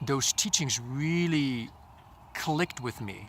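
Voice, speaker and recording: At a very slow pace, a man talks with a bright, sharp tone, a fairly high pitch and ordinary pitch variation. The recording is very clean, with a silent background. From Poland. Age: 40s. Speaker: life coach. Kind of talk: vlog monologue. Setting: outdoors.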